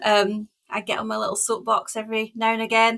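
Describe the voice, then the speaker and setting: A woman speaks in a Scottish accent. The recording is very clean, with a silent background. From Scotland, west coast island. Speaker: packaging consultant. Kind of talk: podcast interview.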